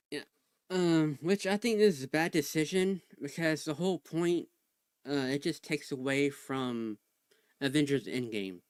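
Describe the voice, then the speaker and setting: At a moderate pace and a fairly high pitch, a man speaks with lively intonation and long, frequent pauses, the sound dry and close with no echo. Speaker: livestream co-host. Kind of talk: casual chat. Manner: soft-spoken.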